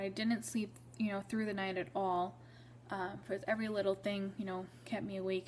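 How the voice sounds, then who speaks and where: At a moderate pace, the speaker sounds somewhat breathy, with ordinary pitch variation. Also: woman. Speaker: vlogger sharing pregnancy story. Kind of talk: personal storytelling vlog.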